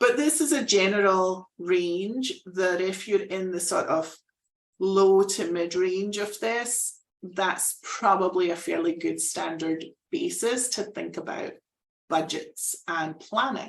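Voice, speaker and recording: This woman talks at a very slow pace. Her pitch stays medium, and it varies in an ordinary way. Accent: Scottish. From Scotland. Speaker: fractional executive, business consultant. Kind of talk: live presentation. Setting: live online presentation.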